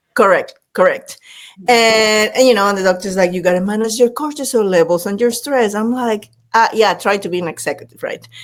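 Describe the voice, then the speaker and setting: A woman with a Latin American accent talks at a fairly quick pace and fairly high pitch. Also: ordinary pitch variation. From Panama. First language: Spanish. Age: 50s. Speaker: leadership speaker and former executive. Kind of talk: podcast interview. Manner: animated.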